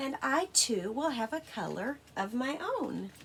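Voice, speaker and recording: A put-on character voice at a high pitch and fairly slow pace, with clear background noise. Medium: read story.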